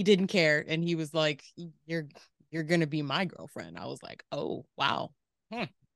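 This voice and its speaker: A woman's very deep, low voice in an American accent, at a moderate pace, with ordinary pitch variation and big swings in loudness. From Southern California, Riverside. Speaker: entrepreneur, board game founder. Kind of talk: casual interview.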